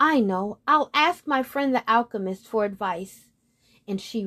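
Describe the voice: Someone does plain reading aloud over a quiet background.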